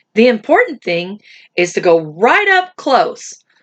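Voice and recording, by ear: A natural voice, reading aloud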